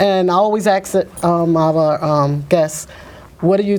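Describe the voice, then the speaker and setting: A voice in a New York accent comes through with noticeable background noise. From New York, Brooklyn. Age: old. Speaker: TV show co-host. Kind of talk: interview.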